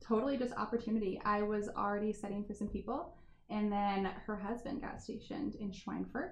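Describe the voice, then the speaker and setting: A woman with an American accent talks at a fairly quick pace in a fairly high pitch, her pitch moving in an ordinary way over noticeable background noise. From US Midwest, Indiana. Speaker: restaurant and wine bar owner. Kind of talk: casual interview chat.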